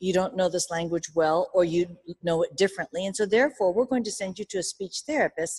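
A woman speaks at a medium pitch with ordinary pitch variation and a fairly quick pace, an unremarkable speaking voice captured dry and close with no echo. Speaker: education professor. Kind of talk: speech. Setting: stage with audience.

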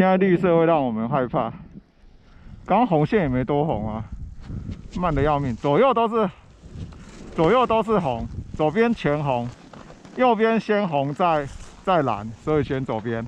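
With light background noise and a dry sound free of echo, a man with a fairly high pitch talks at a fairly slow pace, his pitch swinging very widely between long, frequent pauses. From Taiwan. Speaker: skier filming a vlog. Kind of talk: casual chat. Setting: outdoors. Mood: playful, joking. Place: open country. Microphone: phone near.

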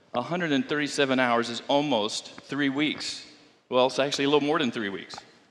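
At a fairly slow pace, a man with a fairly high pitch speaks with ordinary pitch variation. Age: 60s. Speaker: pastor. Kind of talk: sermon. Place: church.

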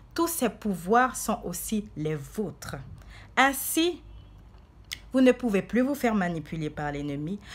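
Somewhat breathy and fairly slow, a woman's voice moves in very wide pitch swings. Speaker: preacher. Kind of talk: sermon. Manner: fervent, declamatory preacher in full flow, urgent rising cadence; earnest, exhorting the flock with repeated 'bien aimé'. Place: home room. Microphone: phone near.

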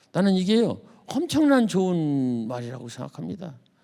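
In an animated tone, a man talks at a high pitch. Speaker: poet and retired teacher. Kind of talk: lecture. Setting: stage with audience.

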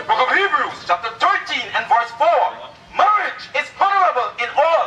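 With audible room echo and light background noise, a man uses a raised, projected voice at an extremely high pitch, moving at a moderate pace with very wide pitch swings. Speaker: street preacher. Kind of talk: street preaching debate, argumentative. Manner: insistent, forceful, talks over others. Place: street.

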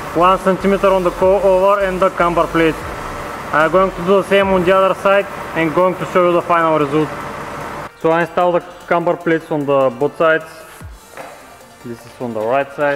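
A man with a high voice talks at a fairly quick pace with ordinary pitch variation, faint music playing in the background. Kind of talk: tutorial. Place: garage.

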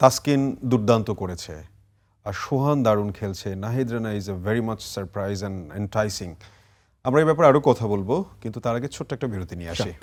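A man with an ordinary speaking voice talks in a fairly low pitch, with ordinary pitch variation and big swings in loudness. The recording is very clean, with a silent background. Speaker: sports TV show host. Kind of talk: studio talk show interview. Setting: TV studio.

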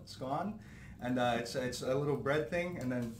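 A man at a moderate pace, ordinary pitch variation, audible room echo and light background noise. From Hamilton, Ontario, Canada; Ontario. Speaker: podcast host or guest. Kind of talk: casual interview. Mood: relaxed, friendly. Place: home room.

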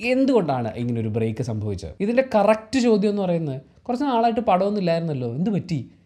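A man speaks with a high pitch and very wide pitch swings in a dark, mellow tone. The background is quiet. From Kerala, India. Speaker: YouTube vlogger; video commentator. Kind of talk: commentary monologue. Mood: earnest, reflective. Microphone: lapel.

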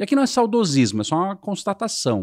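Against a quiet background with a dry sound and no echo, a man talks at a fairly quick pace with very wide pitch swings. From Brazil. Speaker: sales and marketing executive; sales. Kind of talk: interview. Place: studio. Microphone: studio mic.

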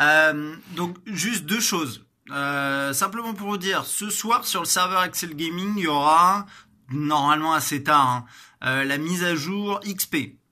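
In a very clean recording with a silent background, a man speaks very slowly in a high voice with a bright, sharp tone and ordinary pitch variation. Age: 30s. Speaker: gaming streamer. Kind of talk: casual announcement video. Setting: home corner with plant and lamp.

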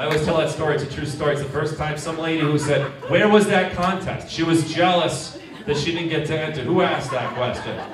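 A man rushes along at a very fast pace in a fairly high pitch, with audible room echo and noticeable background noise. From Rhode Island. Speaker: stand-up comedian. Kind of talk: stand-up comedy set with crowd work. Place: stage.

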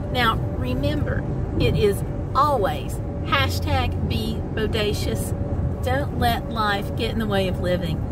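Amid loud background noise, a woman speaks at a very slow pace, and the sound is dry with no echo. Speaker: travel vlogger. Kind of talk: casual vlog chat. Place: car. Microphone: phone near.

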